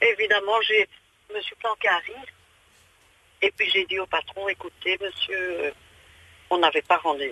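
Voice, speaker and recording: Long pauses come often as a woman talks at a moderate speed. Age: 60s. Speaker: radio caller. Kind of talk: phone-in chat. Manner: animated.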